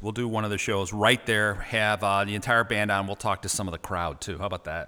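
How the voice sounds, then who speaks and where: A man's bright, sharp-toned voice at a very fast pace. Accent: Chicago. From Chicago. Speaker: podcast host. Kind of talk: interview.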